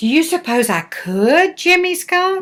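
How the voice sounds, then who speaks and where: A woman in a put-on character voice, extremely high in pitch, at a fairly slow pace. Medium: read story. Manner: earnest.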